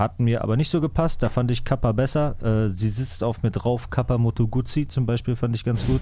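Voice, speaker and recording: A man with a dark, mellow tone and medium pitch talks at a fairly quick pace with hardly any pauses, very even loudness and ordinary pitch variation. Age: 30s. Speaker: hip-hop music podcast host. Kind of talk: casual chat. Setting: studio.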